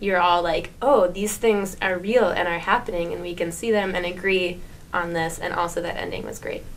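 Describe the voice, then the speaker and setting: With an American accent and a fairly low pitch, a woman speaks at a moderate pace with fairly even intonation, with audible room echo. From New Jersey. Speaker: podcast guest. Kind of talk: casual chat.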